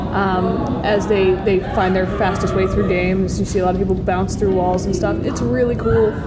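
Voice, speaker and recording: A woman at a medium pitch and moderate pace, with ordinary pitch variation, very even loudness and hardly any pauses, amid noticeable background noise and audible room echo. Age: 30s. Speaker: gaming nonprofit president. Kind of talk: casual chat. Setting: convention.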